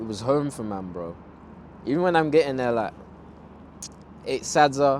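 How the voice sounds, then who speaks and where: A man with a London accent speaks at a medium pitch and a moderate pace, with lively intonation. His loudness swings widely, and he takes long, frequent pauses. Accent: London multicultural English. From Zimbabwe. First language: Ndebele. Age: 20s. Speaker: fashion designer. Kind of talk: casual interview chat.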